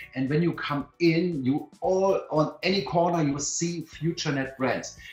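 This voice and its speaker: A man's fairly high voice with a non-native accent, enthusiastic in tone, with ordinary pitch variation and music in the background. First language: not English. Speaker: company co-founder presenting to members. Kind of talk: webinar presentation. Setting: online webinar. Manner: halting, many fillers and restarts.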